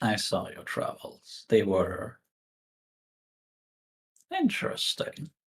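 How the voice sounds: Putting on a character voice, a man speaks slowly at a fairly low pitch with a husky, rough edge and big pitch swings.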